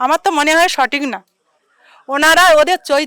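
A woman's high-pitched voice, dry and close with no echo. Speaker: local resident. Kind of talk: street interview. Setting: outdoors in the evening. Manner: animated.

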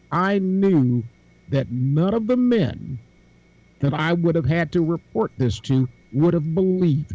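In a dry sound with no echo, a man speaks at a fairly slow pace with a high pitch, lively intonation and a dark, mellow tone. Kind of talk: casual panel discussion. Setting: video call. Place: home room. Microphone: video call.

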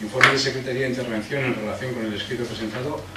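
Loud background noise surrounds a man as he talks. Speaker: council official or mayor. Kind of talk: reading an official report aloud. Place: meeting room.

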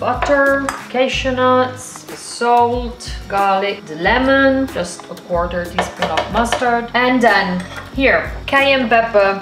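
A woman speaks very slowly, her loudness swinging widely. Her pitch varies in an ordinary way, with music clearly audible behind her. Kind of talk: cooking tutorial. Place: kitchen. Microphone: camera far.

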